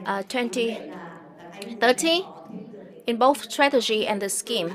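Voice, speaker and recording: Over noticeable background noise, a woman with a fairly high pitch speaks at a fairly slow pace, her intonation lively. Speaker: government official. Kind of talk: formal opening speech. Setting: conference. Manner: formal.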